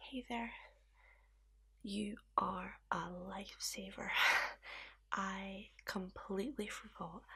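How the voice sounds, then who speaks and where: Soft-spoken and with a Scottish accent, a woman talks at a medium pitch with fairly even intonation. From Scotland. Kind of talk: ASMR roleplay.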